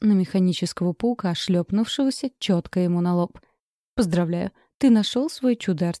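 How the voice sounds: A natural reading voice with ordinary pitch variation comes through against a quiet background.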